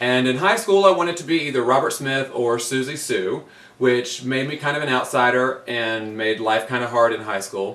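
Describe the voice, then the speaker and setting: Moving at a moderate pace, a man with an American accent has a plain, everyday voice at a medium pitch with ordinary pitch variation. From Virginia, US (Virginia Beach). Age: 30s. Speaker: drag queen. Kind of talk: audition video monologue.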